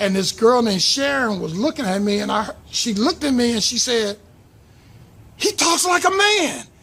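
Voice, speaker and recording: A raised, projected voice with an American accent, its pitch swinging very widely. The pace is moderate. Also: man. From Los Angeles area, US. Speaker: YouTuber, aspiring voiceover artist. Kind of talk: personal storytelling. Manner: conversational with fillers.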